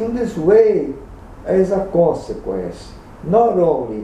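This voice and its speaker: Against light background noise and audible room echo, a man with a non-native accent speaks at a very slow pace. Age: 60s. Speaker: gynecologist. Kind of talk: opinion talk to camera. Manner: slow, deliberate. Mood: serious, critical. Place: home room. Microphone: webcam.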